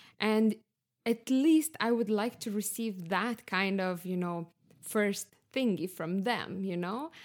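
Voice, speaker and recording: Speaking very slowly, a woman has a Lithuanian accent. Her medium pitch shows ordinary pitch variation. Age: 20s. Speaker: podcast guest. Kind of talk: casual chat.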